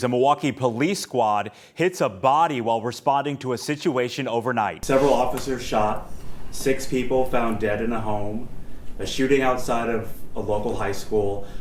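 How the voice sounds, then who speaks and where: In a plain, everyday voice, a man speaks at medium pitch and a moderate pace with ordinary pitch variation. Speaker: TV news reporter and anchor. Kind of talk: TV news reporting and anchoring. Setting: outdoors, live field reporting.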